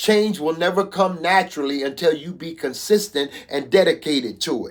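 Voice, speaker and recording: A man's high-pitched voice at a moderate pace, with ordinary pitch variation and big swings in loudness. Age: 60s. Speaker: motivational speaker. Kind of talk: motivational talk. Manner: conversational.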